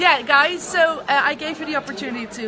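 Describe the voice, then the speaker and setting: Amid crowd noise in the background and audible room echo, a woman speaks at a moderate pace. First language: not English. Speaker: business coach. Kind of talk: interview.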